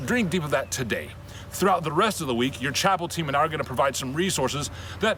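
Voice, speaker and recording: Lively intonation at a very fast pace, with noticeable background noise. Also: man. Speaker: military chaplain. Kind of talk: casual talk to camera, pastoral message.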